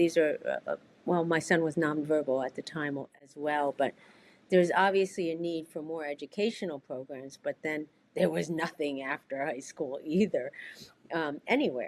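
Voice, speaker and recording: A woman's very deep, low voice at a moderate pace, with ordinary pitch variation and big swings in loudness. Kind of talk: interview. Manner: soft-spoken; halting, many fillers.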